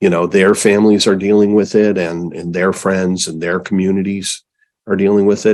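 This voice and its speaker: Flat and monotone, a man speaks at a fairly low pitch. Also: moderate pace. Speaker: interview host. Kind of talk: interview question.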